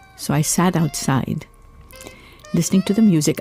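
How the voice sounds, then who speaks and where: A woman's very deep, low voice over music in the background. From Mumbai, India. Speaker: singer. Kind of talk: interview answer. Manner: chatty, storytelling.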